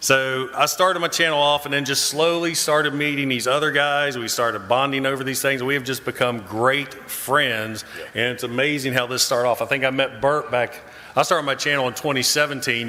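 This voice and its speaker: Through noticeable background noise and audible room echo, a man of medium pitch speaks at a fairly quick pace with fairly even intonation. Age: 50s. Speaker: YouTuber and military veteran. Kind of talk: panel discussion. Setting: convention stage with audience.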